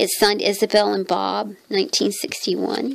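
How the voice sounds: A woman speaks at a fairly slow pace in a croaky, medium-pitched voice with vocal fry and little pitch movement.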